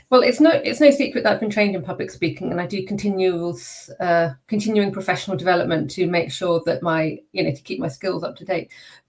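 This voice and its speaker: Amid noticeable background noise, a woman with a medium pitch talks at a very fast pace, with lively intonation and big swings in loudness. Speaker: public speaker and neurodiversity consultant. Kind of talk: interview. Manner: varied pitch and pace after vocal coaching.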